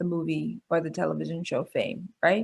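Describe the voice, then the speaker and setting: Her voice sits fairly low for a woman, and she speaks with a New York accent. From New York City, Bronx. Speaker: pediatrician and medical school dean. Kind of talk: webinar talk. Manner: halting.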